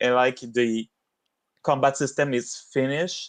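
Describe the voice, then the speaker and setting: Against a quiet background, a man speaks at a medium pitch in a dry, close sound with no echo. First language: not English. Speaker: game level designer. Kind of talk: casual chat. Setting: livestream.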